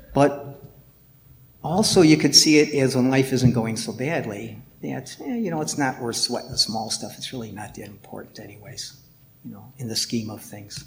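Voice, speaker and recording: A man's lively, up-and-down intonation with vocal fry, at a moderate pace. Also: medium pitch for a man. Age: 60s. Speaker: lay Buddhist practitioner and artist giving a talk. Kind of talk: dharma talk. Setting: temple hall with audience.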